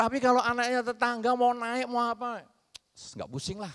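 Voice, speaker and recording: Against a quiet background, a man with an extremely high pitch talks at a fairly quick pace in an animated tone. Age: 50s. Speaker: Buddhist monk; speaker. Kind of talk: Dhamma talk. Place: stage. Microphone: handheld.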